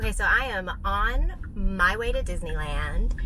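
This is a woman speaking. Background noise is noticeable. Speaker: vlogger. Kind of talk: casual vlog chat. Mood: cheerful, amused. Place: car. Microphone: phone near.

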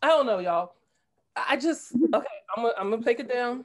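The speaker has a New Jersey accent and lively intonation. The background is quiet. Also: woman. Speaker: political candidate. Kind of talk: discussion comment. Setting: video call. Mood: troubled, earnest. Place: home room. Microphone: video call.

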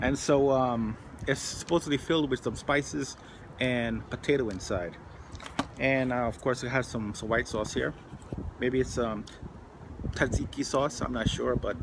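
Noticeable background noise sits behind a man speaking at a moderate pace with ordinary pitch variation. He takes long, frequent pauses. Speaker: food reviewer. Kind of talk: casual vlog chat. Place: garden. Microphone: phone near.

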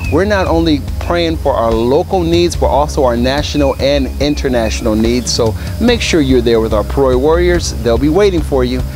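With clear music behind him, a man speaks in a dry recording with no echo. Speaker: church announcer. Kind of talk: announcements to camera. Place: garden.

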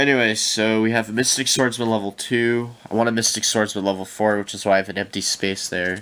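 A man with medium pitch speaks at a very fast pace with hardly any pauses. His intonation is monotone and flat over noticeable background noise. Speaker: YouTuber showing trading card collection. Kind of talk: casual vlog show-and-tell. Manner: halting, many fillers.

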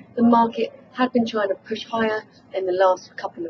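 A woman talks at a fairly quick pace with fairly even intonation, and light background noise sits behind her. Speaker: market news correspondent. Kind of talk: news report. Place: office.

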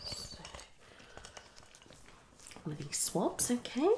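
A woman whispering at a slow pace.

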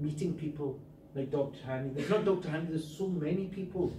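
A man's fairly high voice has a dark, mellow tone and ordinary pitch variation. He speaks at a fairly quick pace, with audible room echo.

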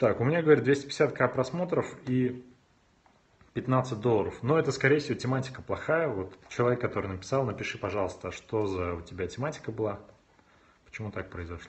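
A man speaks at a fairly quick pace with lively intonation, a somewhat breathy sound, and long, frequent pauses. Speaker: video blogger and YouTube marketing consultant. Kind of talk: live stream Q&A with viewers. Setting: live video stream on smartphone, standing. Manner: animated, moving a lot on camera. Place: home room.

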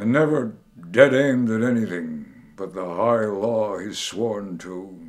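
A man speaks at a very slow pace. His voice sits fairly low. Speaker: poet, WWII veteran. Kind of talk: poetry reading. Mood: bitter, sardonic political critique. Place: home room.

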